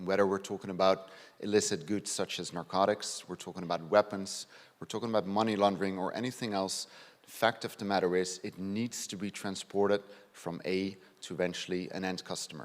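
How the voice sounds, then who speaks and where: A man with a Dutch accent speaks fairly quickly at a fairly low pitch, in monotone, flat intonation with big swings in loudness. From Netherlands. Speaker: police detective inspector. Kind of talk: conference presentation. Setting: stage with audience.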